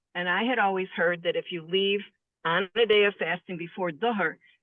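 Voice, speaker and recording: A woman with an ordinary speaking voice, medium pitch and fairly even intonation. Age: 60s. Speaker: participant asking questions. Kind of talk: Q&A.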